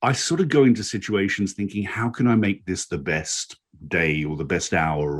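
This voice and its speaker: Fairly low male pitch with very wide swings, from a man. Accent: British. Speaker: former actor, communications coach, voice-over artist. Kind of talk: interview answer.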